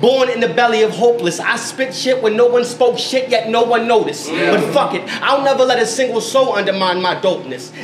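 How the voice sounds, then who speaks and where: Over noticeable background noise, a man talks at a very fast pace in an extremely high pitch, with hardly any pauses. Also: ordinary pitch variation. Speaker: poet. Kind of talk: spoken word performance. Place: shop.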